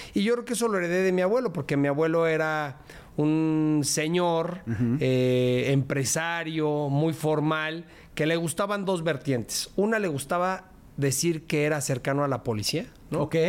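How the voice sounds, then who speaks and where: A man with a Mexico City accent, at a fairly high pitch and fairly slow pace, with ordinary pitch variation and very even loudness. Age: 40s. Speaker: politician. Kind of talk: interview.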